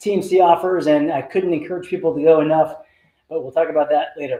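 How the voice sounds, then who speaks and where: A man talks at a very fast pace in a dark, mellow tone. Audible room echo surrounds his voice. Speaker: neurologist, stroke director. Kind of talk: lecture. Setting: talk to a live and online audience. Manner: animated.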